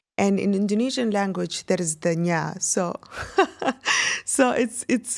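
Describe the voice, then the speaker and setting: A woman with an Arabic accent and a medium pitch, ordinary pitch variation, in a very clean recording with a silent background. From UAE. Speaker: singer. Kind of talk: interview. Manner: halting.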